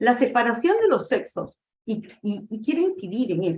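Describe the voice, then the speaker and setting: A woman talks at a fairly slow pace, her fairly high pitch making very wide swings. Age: 60s. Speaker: lecturer on theosophy. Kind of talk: lecture.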